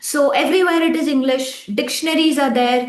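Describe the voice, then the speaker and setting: Against noticeable background noise, a woman with a Tamil accent talks at a moderate pace with ordinary pitch variation. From India, Tamil-speaking. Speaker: relationship coach, podcast co-host. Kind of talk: casual chat.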